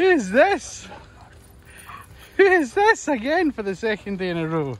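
In a Scottish accent as part of an upbeat, playful act, a man speaks at an extremely high pitch with very wide pitch swings. His fairly slow delivery is dry, with no echo. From Scotland. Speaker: professional dog walker. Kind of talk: casual vlog chat. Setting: outdoors. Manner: upbeat, playful talk to dogs. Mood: cheerful, amused. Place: open country. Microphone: phone near.

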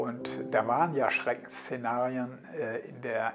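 Behind a man speaking at a medium pitch there is noticeable background noise. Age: 70s. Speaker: politician and lawyer. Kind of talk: interview answer. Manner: hesitant, with filler sounds. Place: office.

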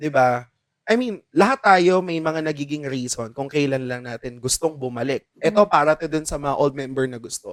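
In a plain, everyday voice, a man talks at a fairly quick pace with a fairly high pitch. His pitch variation is ordinary, and the sound is dry and close with no echo. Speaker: choir podcast host. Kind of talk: casual chat.

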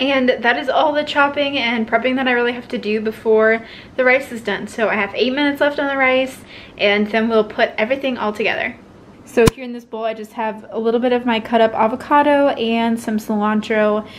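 A woman's high-pitched, fairly quick speech with fairly even intonation over noticeable background noise. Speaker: home cooking vlogger. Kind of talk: casual vlog chat. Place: kitchen. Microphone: camera far.

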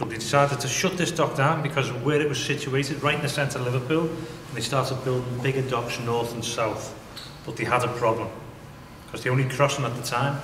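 Over noticeable background noise, a man speaks at a fairly quick pace with fairly even intonation. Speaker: tunnel tour guide. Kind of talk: guided tour explanation. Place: tunnel cave.

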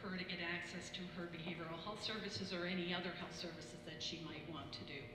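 A woman talks at a fairly quick pace with medium pitch and fairly even intonation. Noticeable background noise and audible room echo surround her. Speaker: health center administrator. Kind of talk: roundtable discussion. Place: hall.

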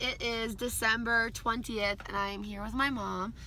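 A woman talks at a moderate pace, the sound dry with no echo and light background noise behind her. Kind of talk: casual vlog chat. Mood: nervous but joking.

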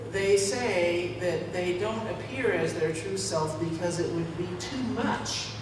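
A woman talks very slowly at a fairly low pitch, with audible room echo and noticeable background noise. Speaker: preacher. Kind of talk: sermon. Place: church. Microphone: camera far.

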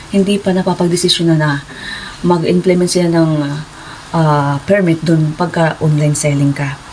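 Against noticeable background noise, a woman talks in a fairly low pitch. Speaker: vlogger, former overseas worker. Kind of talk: casual vlog storytelling.

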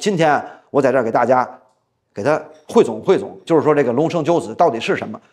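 Vocal fry colors a man's fairly high-pitched voice. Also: quiet background. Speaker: storyteller. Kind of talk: traditional storytelling performance. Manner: casual, chatty. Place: studio. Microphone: lapel.

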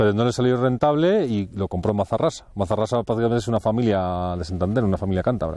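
This man talks at a very fast pace with hardly any pauses. His fairly low voice has a dark, mellow tone, ordinary pitch variation and a dry sound with no echo. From Valladolid, Spain; Spain. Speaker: mountain hut warden; mountain guide or local. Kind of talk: interview while hiking. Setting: outdoors in the mountains. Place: open country. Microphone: lapel.

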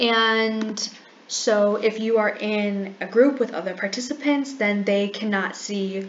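Light background noise is present. Through it, a woman talks. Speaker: presenter. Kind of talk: tutorial. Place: home room.

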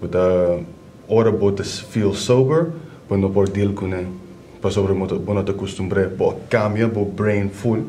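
With light background noise, a man speaks at a fairly slow pace in a fairly low voice, using ordinary pitch variation and long, frequent pauses. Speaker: addiction counselor. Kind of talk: explanatory talk. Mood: calm, serious. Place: office.

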